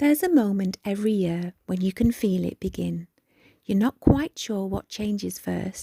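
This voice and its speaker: Somewhat breathy with a dark, mellow tone, a woman speaks at a medium pitch in a dry, close sound with no echo. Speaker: children's author. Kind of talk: calming reflective podcast. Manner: soft-spoken, slow.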